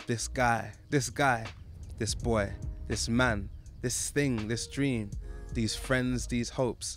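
Over music in the background, a man talks at a very slow pace with long, frequent pauses, and the room gives an audible echo. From London. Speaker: poet. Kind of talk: spoken word poetry. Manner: rhythmic.

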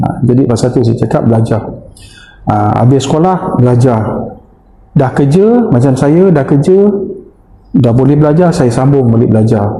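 A man talks at a moderate speed with ordinary pitch variation, amid noticeable background noise and audible room echo. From Malaysia, Muar, Johor. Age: 50s. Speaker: secondary school teacher. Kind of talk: casual interview chat.

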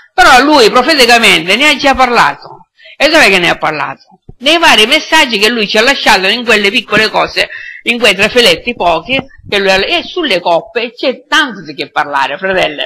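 At a fairly quick pace, a man speaks in a raised, projected voice. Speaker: preacher. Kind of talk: sermon. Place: church.

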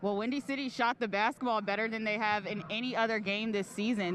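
A woman's raised, projected voice at a fairly quick pace, dry with no echo, amid noticeable background noise. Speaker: sports reporter. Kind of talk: studio stand-up reporting, game preview.

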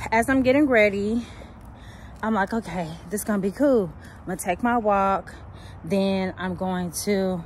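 A woman speaks in a somewhat breathy voice. The sound is dry with no echo, and light background noise is present. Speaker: parent vlogger. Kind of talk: casual vlog chat. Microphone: phone near.

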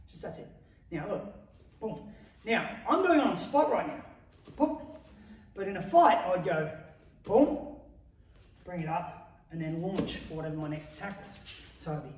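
A man with a high pitch speaks at a moderate pace, leaving long, frequent pauses. His loudness swings widely, and the room echo is audible. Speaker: martial arts coach. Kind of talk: tutorial. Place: gym. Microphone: camera far.

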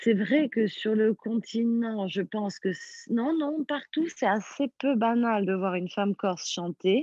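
Lively in intonation, a woman with a fairly high pitch speaks at a very slow pace. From Corsica. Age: 30s. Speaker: singer. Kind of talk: interview.

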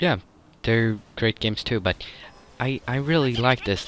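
A man with a Swedish accent, medium pitch and ordinary pitch variation, over noticeable background noise. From Sweden. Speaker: gaming YouTuber. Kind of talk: gameplay commentary. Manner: halting.

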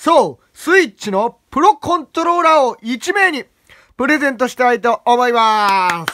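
A man speaks at an extremely high pitch in a raised, projected voice, with a bright, sharp tone and very wide pitch swings. His delivery is animated, at a moderate pace, with big swings in loudness. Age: young. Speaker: gaming YouTuber; student channel host. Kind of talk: casual vlog talk. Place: home room. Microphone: phone near.

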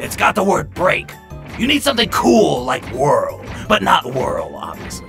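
A man speaks in a put-on character voice, fairly high-pitched with a fairly bright tone, vocal fry and very wide pitch swings. His pace is fairly slow, with faint music in the background.

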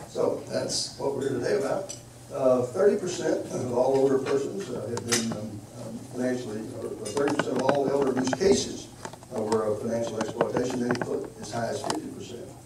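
A man at a moderate pace, amid loud background noise and audible room echo. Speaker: geriatrics educator. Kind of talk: lecture. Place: hall.

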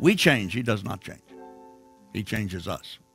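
Over music in the background, a man's voice makes very wide pitch swings. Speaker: pastor. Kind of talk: sermon / church message. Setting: church, recorded sermon.

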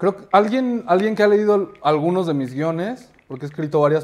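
A man is talking here. His pace is fairly quick and his pitch varies in an ordinary way. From Mexico City. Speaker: actor and film director; actor. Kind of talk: casual interview. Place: studio. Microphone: lapel.

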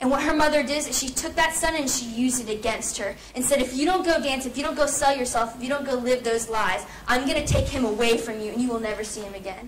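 A woman with a high-pitched voice speaks in an animated tone at a fairly quick pace. Her pitch varies in an ordinary way over light background noise. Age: 18. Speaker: student speaker. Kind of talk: persuasive speech. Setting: stage with audience. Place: classroom. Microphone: camera far.

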